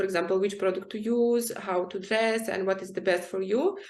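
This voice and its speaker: Speaking with a non-native accent, a woman uses a medium pitch with ordinary pitch variation. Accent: foreign accent in all her languages. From Ukraine and Syria. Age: 20s. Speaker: fashion model. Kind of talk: interview.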